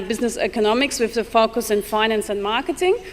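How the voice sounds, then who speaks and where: A German accent with ordinary pitch variation. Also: woman. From Germany. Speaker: financial controller, guest speaker. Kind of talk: speech to dinner audience.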